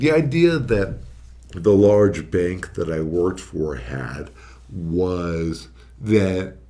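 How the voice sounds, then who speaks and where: With a dark, mellow tone and a very deep, low pitch, a man speaks in very wide pitch swings amid audible room echo. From Arizona, Phoenix area. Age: 30s. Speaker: registered nurse. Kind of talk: casual podcast chat.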